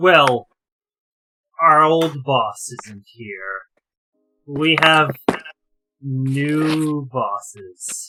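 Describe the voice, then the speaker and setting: A man's put-on character voice, fairly high and very slow, broken by long, frequent pauses. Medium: actual play.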